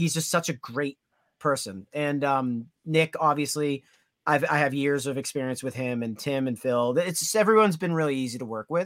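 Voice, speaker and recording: On a very clean recording with a silent background and a dry, close sound without echo, a man with an American accent speaks at a moderate pace in a fairly high voice with ordinary pitch variation. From Massachusetts North Shore (Danvers). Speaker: metal guitarist. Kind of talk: casual chat.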